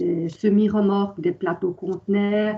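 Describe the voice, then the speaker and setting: A woman speaks at a very slow pace with a medium pitch. Her intonation is monotone and flat. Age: 40s. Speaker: transport company employee. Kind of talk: interview. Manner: hesitant, many fillers.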